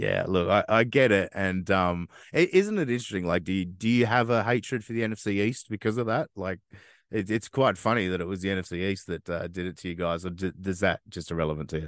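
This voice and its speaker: In an Australian accent, a man speaks very fast at a fairly low pitch with ordinary pitch variation, the sound dry and close with no echo and the background quiet. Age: 30s. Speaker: podcast host. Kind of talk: casual interview chat.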